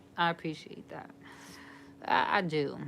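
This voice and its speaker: Someone with an American accent speaks in an animated tone over noticeable background noise. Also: woman. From New York. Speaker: live streamer. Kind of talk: casual chat. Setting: livestream.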